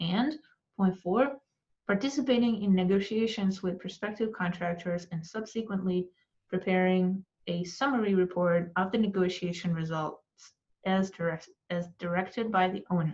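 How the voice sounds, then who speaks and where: Somewhat breathy, a woman speaks with a non-native accent and ordinary pitch variation. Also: medium pitch for a woman. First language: not English. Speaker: architecture exam tutor. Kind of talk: tutorial. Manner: slow; hesitant, many fillers.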